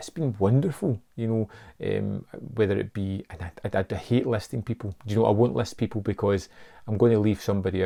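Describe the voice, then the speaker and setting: A man's fairly low, dark, mellow voice at a moderate pace with ordinary pitch variation, on a very clean recording with a silent background. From Scotland. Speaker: film YouTuber. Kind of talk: casual vlog monologue. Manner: hesitant, with repetitions.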